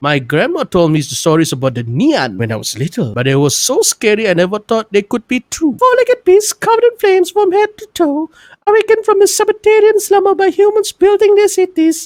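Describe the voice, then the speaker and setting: A squeaky, put-on character voice at an extremely high pitch sounds female. The pace is fairly quick. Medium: read story. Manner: stammering, apologetic.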